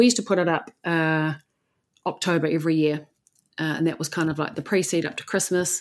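With an Australian accent, a woman talks at a fairly quick pace in a very deep, low pitch with fairly even intonation, captured in a very clean recording with a silent background. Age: 40s. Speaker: salon business coach, former salon owner. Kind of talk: interview conversation.

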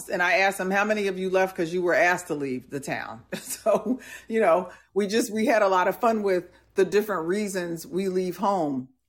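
A woman speaks in a plain, everyday voice with an American accent, her pitch in the medium range. She talks at a fairly quick pace with ordinary pitch variation. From US Northeast and Midwest (New Jersey, Milwaukee). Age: 60s. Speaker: podcast host, leadership coach. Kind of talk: casual live podcast chat. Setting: live audio/video platform with audience.

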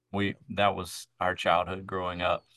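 A man talks at a fairly slow pace with a Southern US accent. The background is quiet. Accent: Southern US (Georgia). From US South, south Georgia then Atlanta. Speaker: microchurch network leader. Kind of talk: casual interview.

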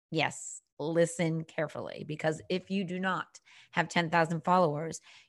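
Against a quiet background, a woman talks at a fairly slow pace and fairly low pitch with a slight Boston accent. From Boston, Massachusetts. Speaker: business coach. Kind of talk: interview.

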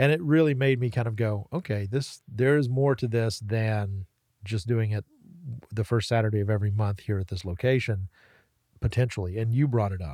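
Against a silent background in a very clean recording, a man with an American accent speaks at a moderate pace. His tone is dark and mellow, his pitch medium with ordinary variation. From western North Carolina, Waynesville, Haywood County. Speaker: talk radio host. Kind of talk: casual interview chat. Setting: podcast studio. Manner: halting, many repeated words.

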